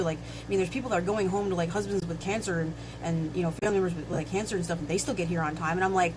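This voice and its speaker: A woman of medium pitch talks at a very fast pace, with audible room echo and noticeable background noise. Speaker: livestock farming streamer. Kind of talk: casual live stream chat. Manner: halting, repeated words.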